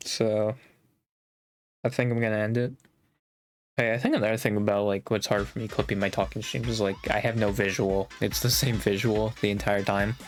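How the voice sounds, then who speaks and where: Mumbling at a fairly quick pace, a man with a fairly low pitch and fairly even intonation leaves long, frequent pauses. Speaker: streamer. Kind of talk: casual chat. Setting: live stream.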